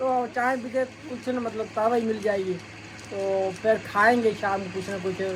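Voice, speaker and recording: Over noticeable background noise, a man with a high pitch talks at a fairly slow pace with fairly even intonation. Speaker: village vlogger. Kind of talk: casual vlog narration.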